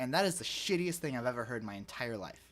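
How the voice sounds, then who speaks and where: A man's lively intonation comes through in a very clean recording with a silent background. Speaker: podcast co-host. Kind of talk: casual chat.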